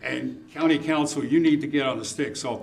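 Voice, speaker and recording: Noticeable background noise and audible room echo surround a man who speaks at a fairly high pitch with fairly even intonation. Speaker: condo association representative at public comment. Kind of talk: public comment at city meeting. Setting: city commission meeting. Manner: loud; raises voice when passionate.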